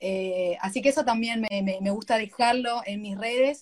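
A woman talks at a moderate pace, somewhat breathy. Her fairly high pitch shows ordinary variation. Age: 40s. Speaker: live stream host. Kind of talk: casual interview.

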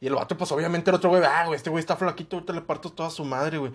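A high-pitched man rushes along very fast, with ordinary variation in his pitch. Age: 20s. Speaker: podcast co-host. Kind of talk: casual chat.

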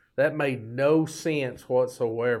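A man with a Southern US accent speaks very slowly at a medium pitch, his intonation fairly even. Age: 50s. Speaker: podcast host. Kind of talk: casual monologue. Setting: studio. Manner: folksy, rambling.

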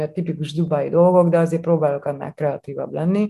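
The speaker is a woman with fairly low pitch. Her pitch varies in an ordinary way. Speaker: chef. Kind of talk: interview. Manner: animated.

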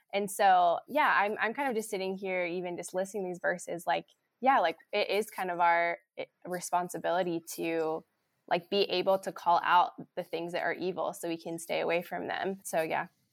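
This is a normal speaking voice at a moderate pace with ordinary pitch variation, recorded dry and close with no echo on a very clean, silent background. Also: woman, medium pitch for a woman. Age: 20s. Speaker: church staff member. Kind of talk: casual chat.

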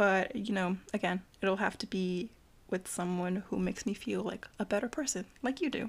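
With an ordinary speaking voice, a woman talks at a medium pitch. Her pace is moderate, with ordinary pitch variation. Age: 20s. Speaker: student, host's childhood best friend. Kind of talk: casual chat.

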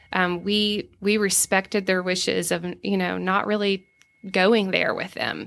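A woman with a Southern US accent talks at a fairly slow pace and medium pitch, her intonation fairly even. The recording is very clean, with a silent background. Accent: Southern American. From US South, Savannah, Georgia. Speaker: food entrepreneur. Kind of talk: casual interview.

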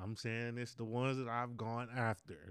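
Mumbling from a man at medium pitch, on a very clean recording with a silent background. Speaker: podcast host. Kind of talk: solo casual monologue.

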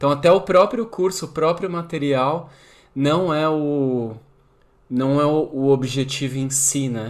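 With an ordinary speaking voice, a man talks at a fairly slow pace and a fairly high pitch, with ordinary pitch variation. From São Paulo, Brazil. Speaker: podcast host. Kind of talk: casual interview conversation.

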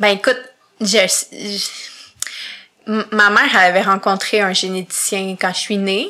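A woman's medium-pitched voice moves at a very slow pace, broken by long, frequent pauses, her intonation fairly even. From Quebec, Montreal. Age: 20s. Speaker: podcast guest with visual impairment. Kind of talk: interview.

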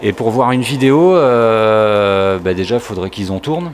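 A man at medium pitch and a fairly slow pace, lively intonation, noticeable background noise. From southern France (Var, Provence coast). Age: 40s. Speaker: veteran skateboarder and photographer. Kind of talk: casual chat.

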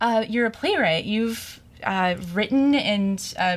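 The pace here is fairly slow. It is a woman talking with an American accent. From Springfield, Missouri. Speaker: college radio host and DJ. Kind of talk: radio interview. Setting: radio studio. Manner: hesitant, many fillers.

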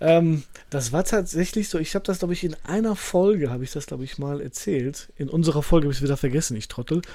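A man talks at a very fast pace and fairly high pitch. His tone is dark and mellow, with ordinary pitch variation. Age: 40s. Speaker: author and teacher. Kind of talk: podcast interview.

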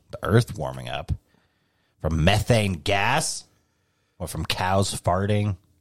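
A man talks fairly low and at a fairly slow pace, with vocal fry. His pitch swings very widely. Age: 30s. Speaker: podcast co-host. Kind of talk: casual chat. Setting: home garage studio.

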